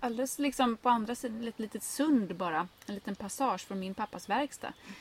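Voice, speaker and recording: The voice is somewhat breathy, with big swings in loudness and ordinary pitch variation. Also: woman. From Sweden, grew up on an island. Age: 30s. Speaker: gardening blogger and author. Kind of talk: casual interview conversation.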